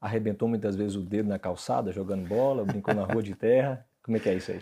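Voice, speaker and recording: A man talks at a very fast pace in a fairly low pitch, with a dark, mellow tone. His pitch variation is ordinary. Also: very clean recording, silent background. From Brazil, same hometown as guest. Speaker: interview host. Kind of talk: interview.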